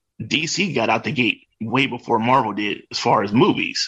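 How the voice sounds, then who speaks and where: A man's medium-pitched voice with vocal fry. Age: 40s. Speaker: comic book enthusiast. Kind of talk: casual chat.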